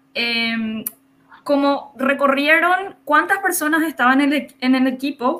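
Raised and projected, a woman's voice comes through at a high pitch with a bright, sharp tone and ordinary pitch variation. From Paraguay border region, Ciudad del Este area. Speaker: filmmaker and teacher. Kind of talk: interview.

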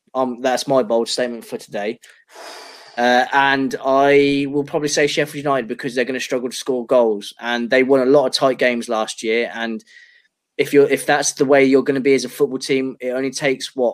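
With monotone, flat intonation, a man speaks at a fairly quick pace and a medium pitch. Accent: Liverpool.

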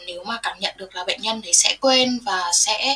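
Noticeable background noise runs under the recording. A woman talks at a fairly high pitch with ordinary pitch variation. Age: 20s. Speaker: nurse. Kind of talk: interview.

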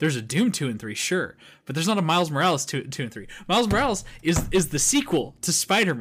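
A man talks at a very fast pace with a fairly high pitch and very wide pitch swings. His voice carries vocal fry. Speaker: podcast co-host. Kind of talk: casual chat. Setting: video call. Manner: animated.

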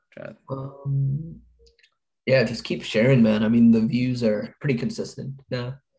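Music plays in the background. A man talks at a fairly slow pace with a medium pitch and fairly even intonation. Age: young. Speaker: college student, podcast co-host. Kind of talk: casual chat.

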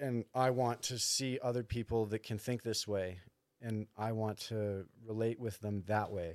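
Speaking at a fairly slow pace, a man with an ordinary speaking voice keeps a medium pitch and fairly even intonation on a very clean recording with a silent background. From Canada, Thunder Bay, Ontario. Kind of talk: casual chat.

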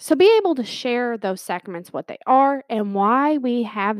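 Delivered at a moderate pace with lively intonation, a plain, everyday voice comes through dry and close with no echo. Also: woman. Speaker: podcast co-host. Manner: informal, jokey.

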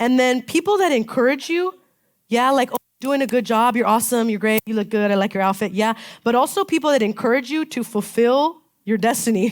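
Using a plain, everyday voice, a woman with an American accent speaks at a fairly quick pace. Her pitch is fairly high with ordinary variation, on a very clean recording with a silent background. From Southern California, Palm Springs. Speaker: pastor. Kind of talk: sermon. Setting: church. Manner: casual, conversational.

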